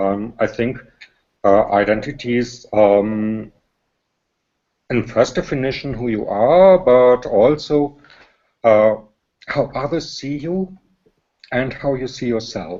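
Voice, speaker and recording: This man speaks with a German accent at a medium pitch and a very slow pace. His intonation is lively, broken by long, frequent pauses. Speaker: panel guest. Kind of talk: panel discussion. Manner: halting.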